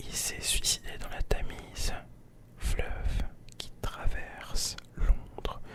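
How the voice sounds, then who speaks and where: A whisper at a very slow pace, broken by long, frequent pauses, against noticeable background noise. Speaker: ASMR content creator. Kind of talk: ASMR story time, whispered storytelling. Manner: whispered.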